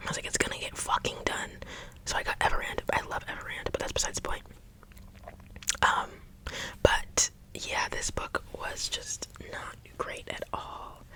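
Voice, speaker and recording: A woman whispers at a moderate pace, leaving long, frequent pauses. Noticeable background noise runs under her voice. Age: 20s. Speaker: ASMR creator and book reviewer. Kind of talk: casual chatty talk to camera. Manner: opinionated, exasperated, expressive.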